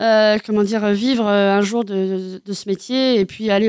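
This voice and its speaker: A woman talks at a fairly slow pace with a medium pitch. Her intonation is monotone and flat. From Normandy, France. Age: 30s. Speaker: comedian. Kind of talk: interview. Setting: radio studio.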